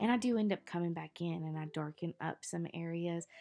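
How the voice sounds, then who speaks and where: Lively intonation in a dark, mellow tone at a moderate pace. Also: woman. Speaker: bible journaling art tutor. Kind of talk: tutorial. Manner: casual, conversational.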